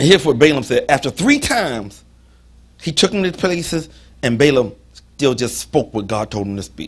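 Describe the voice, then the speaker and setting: A man talks in an animated tone at a moderate pace, somewhat breathy. His fairly high pitch makes very wide swings. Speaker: preacher. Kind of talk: sermon. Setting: church. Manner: animated, call-and-response style, preaching with humor and emphasis. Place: church.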